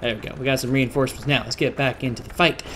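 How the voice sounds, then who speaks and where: This is a man speaking. His pitch is medium. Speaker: gaming YouTuber. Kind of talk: gameplay commentary. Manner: casual, conversational; whispering at times.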